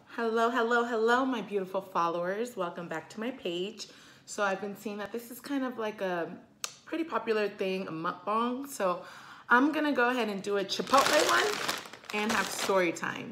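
Ordinary pitch variation from a woman speaking at a moderate speed. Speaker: vlogger. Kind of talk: casual vlog chat. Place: kitchen. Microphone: phone near.

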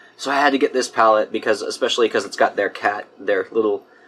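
The man's voice has a bright, sharp tone. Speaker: beauty vlogger. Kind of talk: casual vlog chat. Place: home room.

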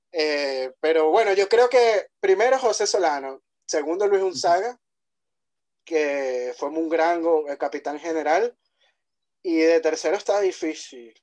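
Lively intonation runs through fairly slow speech. The background is quiet. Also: man, fairly high pitch for a man. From Venezuela, Puerto La Cruz; Venezuela. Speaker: podcast host. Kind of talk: podcast interview. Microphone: video call.

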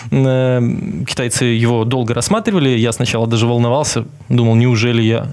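This man's loudness stays very even. He speaks at a moderate pace with ordinary pitch variation. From Belarus. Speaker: journalist and TV correspondent. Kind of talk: casual interview chat. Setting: studio. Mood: relaxed, smiling. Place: studio. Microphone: headset.

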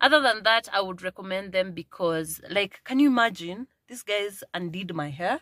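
The voice is animated and bright, sharp in tone, with lively intonation and big swings in loudness at a moderate pace. It hardly pauses, and the sound is dry with no echo against a quiet background. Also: woman. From Kenya. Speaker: vlogger. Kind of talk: casual vlog chat. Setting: in a car. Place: car. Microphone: phone near.

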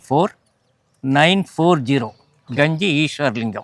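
A plain, everyday voice from a man, fairly high in pitch, with lively intonation and dry, close sound with no echo. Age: 60s. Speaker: organ donation activist. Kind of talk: interview.

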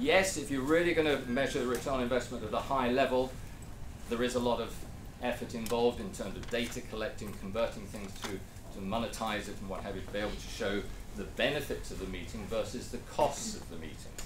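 The pace is very fast, with ordinary pitch variation. Noticeable background noise runs underneath. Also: man. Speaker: presenter. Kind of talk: lecture. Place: meeting room.

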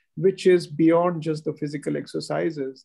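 At a moderate pace, a man speaks over a quiet background. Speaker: guest. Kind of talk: formal welcome remarks. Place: office. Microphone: video call.

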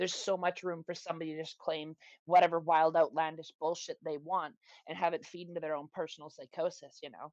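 A woman's fairly low, monotone voice with flat intonation at a very fast pace, with big swings in loudness and a dry, close sound with no echo over a quiet background. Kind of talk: podcast conversation.

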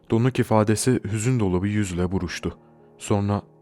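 Reading aloud in a natural voice, with the usual amount of pitch change.

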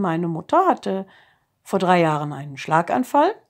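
A woman's voice with very wide pitch swings against a quiet background. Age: 50s. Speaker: kindergarten teacher giving a testimonial. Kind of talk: testimony. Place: home room. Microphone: phone near.

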